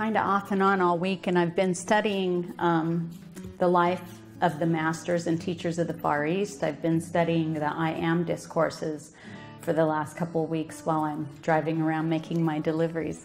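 Over faint background music, a woman speaks at a fairly low pitch and moderate pace in a flat, monotone way. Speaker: minister giving a talk. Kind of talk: sermon. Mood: calm, earnest. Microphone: podium.

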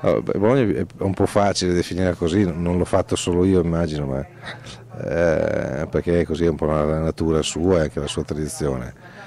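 A man's very deep, low voice at a moderate pace, with ordinary pitch variation, a dry sound with no echo and light background noise. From Romagna, Italy (Forlì); Romagna, Italy. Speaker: poet and festival artistic director; poet. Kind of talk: interview. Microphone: handheld.

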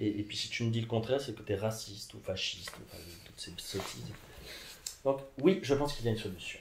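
Very fast speech with big swings in loudness and long, frequent pauses, over light background noise and audible room echo. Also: man. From Mexico. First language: Spanish (speaking French). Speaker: philosopher; interviewee. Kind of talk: interview. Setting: at his home. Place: home room. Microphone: camera far.

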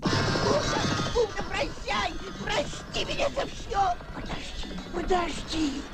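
Clear music plays behind a cartoonish character voice that moves slowly with big pitch swings.

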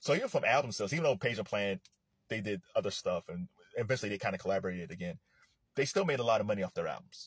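A man talks at a very fast pace with lively intonation. His voice is somewhat breathy, and the sound is dry with no echo. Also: quiet background. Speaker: commentator. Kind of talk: casual commentary. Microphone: phone near.

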